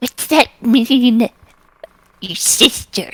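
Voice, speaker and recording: In a put-on character voice, a female-sounding speaker talks at a high pitch. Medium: actual play. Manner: snappish, shouting, defensive.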